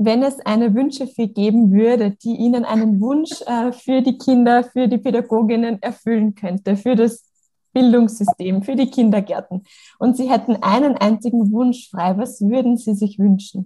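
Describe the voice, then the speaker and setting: A woman speaks at a fairly high pitch with a dark, mellow tone. Her intonation is fairly even and her pace moderate. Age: young. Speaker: podcast host and kindergarten teacher. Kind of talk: interview.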